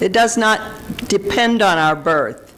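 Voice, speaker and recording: A Southern US accent over noticeable background noise. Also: woman. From US South, Mississippi. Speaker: minister. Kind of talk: sermon.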